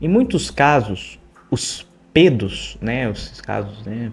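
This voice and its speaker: A somewhat breathy male voice. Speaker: true crime psychology youtuber. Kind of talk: true crime commentary. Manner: slow.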